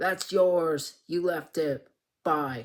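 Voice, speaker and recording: A man's high-pitched, put-on character voice with fairly even intonation. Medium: read story. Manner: curt.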